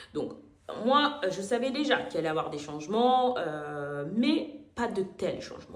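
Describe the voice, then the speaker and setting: Amid noticeable background noise and audible room echo, a woman speaks in an animated tone at a medium pitch with very wide pitch swings. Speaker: vlogger, call-centre worker. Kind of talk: casual storytime vlog.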